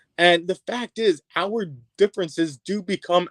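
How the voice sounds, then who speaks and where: The pace is very slow. The speaker is a man. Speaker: therapist and social worker. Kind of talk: interview. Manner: halting, repeats words.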